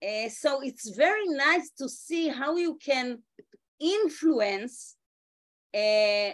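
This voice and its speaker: With an Israeli accent, a woman speaks at a high pitch and a very slow pace, her pitch swinging very widely between long, frequent pauses. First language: Hebrew. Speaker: education ministry official. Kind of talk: meeting remarks. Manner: halting, many fillers.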